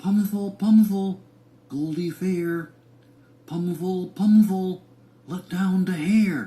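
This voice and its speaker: A quiet, put-on character voice sits at a middle pitch. It moves at a very slow pace with long, frequent pauses. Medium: read story. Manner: quiet, cautious.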